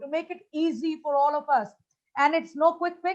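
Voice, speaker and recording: A woman speaks at a moderate pace in a high voice. Her pitch varies in an ordinary way. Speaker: motivational speaker. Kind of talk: conference talk.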